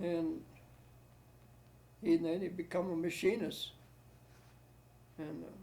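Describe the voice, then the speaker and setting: Speaking at a fairly slow pace with long, frequent pauses, a man with a high pitch and a dark, mellow tone holds a monotone, flat intonation. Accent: American. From Ohio, Medina. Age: 80s+. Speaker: war veteran. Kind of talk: oral history interview. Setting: at home. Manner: halting.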